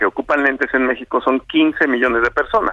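The sound is close and dry, without any echo. A man talks at a moderate speed. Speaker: optometry society president. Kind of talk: phone interview. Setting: phone call.

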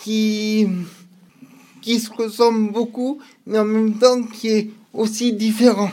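A man speaks with a high pitch at a very slow pace. His intonation is monotone and flat. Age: 40s. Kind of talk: interview. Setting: radio studio. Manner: halting.

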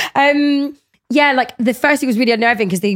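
A woman speaks at a very fast pace. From Scotland and Liverpool. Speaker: radio presenter and DJ. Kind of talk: casual chat. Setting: studio.

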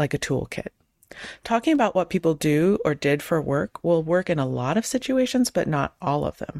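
A woman with an American accent and fairly low pitch talks at a fairly quick pace in an unremarkable speaking voice, the sound dry and close with no echo. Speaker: podcast host. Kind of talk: casual chat.

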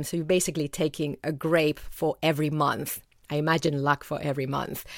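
In a Spanish accent, a woman with a fairly low pitch talks at a moderate pace, captured dry and close with no echo in a very clean recording over a silent background. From Spain. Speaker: author. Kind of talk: interview.

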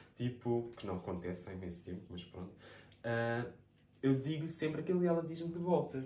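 At a moderate pace, the voice shows very wide pitch swings and big swings in loudness, with audible room echo. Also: man, medium pitch for a man. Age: 20s. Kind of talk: casual chat.

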